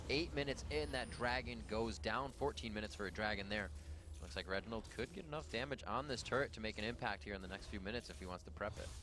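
A man's excited, animated voice with vocal fry, very wide pitch swings and a very fast pace. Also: fairly low pitch for a man. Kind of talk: esports play-by-play commentary. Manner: animated, fast play-by-play; excited, rapid-fire calls of fights.

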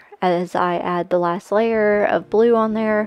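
Music plays in the background as a woman speaks. The sound is dry, with no echo. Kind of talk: casual voice-over narration about painting process.

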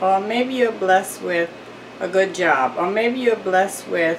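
Faint background noise is present. The voice belongs to a woman. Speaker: home cooking vlogger. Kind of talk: casual cooking tutorial and inspirational talk. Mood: warm, uplifting. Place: kitchen. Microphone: phone near.

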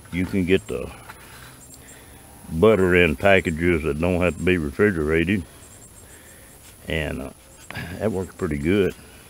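In a dry recording with light background noise, a man with a very deep, low voice speaks at a moderate pace with fairly even intonation and long, frequent pauses. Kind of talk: casual tutorial. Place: open country. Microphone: phone near.

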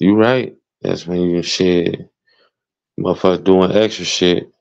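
A man speaks in an American accent. His voice is very deep and low, and his pace very slow. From Chicago. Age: 40s. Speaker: streamer. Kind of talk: casual chat.

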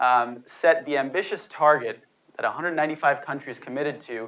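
With ordinary pitch variation, the man talks at a moderate pace. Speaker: speaker. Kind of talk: lecture. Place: hall. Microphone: lapel.

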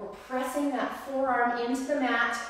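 Strong room echo surrounds this woman's voice. She has a high pitch and a fairly slow pace. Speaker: personal trainer. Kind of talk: live-streamed workout instruction, counting reps and cueing form in real time. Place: gym. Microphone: camera far.

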